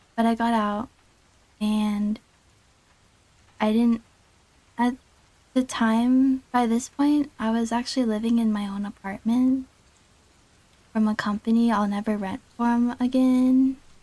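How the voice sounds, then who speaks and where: Soft-spoken and fairly slow, a woman with a fairly high pitch and a dark, mellow tone speaks in a flat monotone, leaving long, frequent pauses. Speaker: VTuber streamer. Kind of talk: casual livestream chat, telling a personal story.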